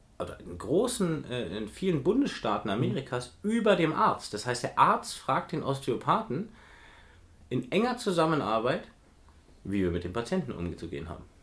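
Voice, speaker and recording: Vocal fry runs through a man's speech as he moves at a moderate pace with very wide pitch swings. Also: medium pitch for a man. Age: 40s. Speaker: physiotherapist and osteopath in training, podcast co-host. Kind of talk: casual chat.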